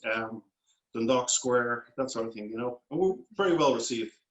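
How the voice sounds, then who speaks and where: A man with a Dublin accent, very fast pace and fairly even intonation. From Ireland, Dublin. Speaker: food company founder. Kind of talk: interview.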